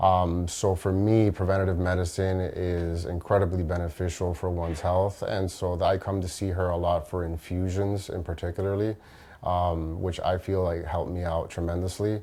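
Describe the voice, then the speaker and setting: The man's voice is very deep and low, with an American accent. He talks at a moderate pace in a monotone, flat intonation. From Miami, Florida. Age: 30s. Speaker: nurse anesthetist giving a testimonial. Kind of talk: testimonial interview. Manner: hesitant, many fillers.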